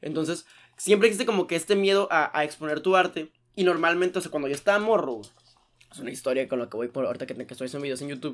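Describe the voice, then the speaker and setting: Talking at a very fast pace, a man with a Mexican accent has a fairly high pitch. His intonation is lively, and his loudness swings widely. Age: 20s. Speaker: podcast co-host. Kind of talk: casual chat.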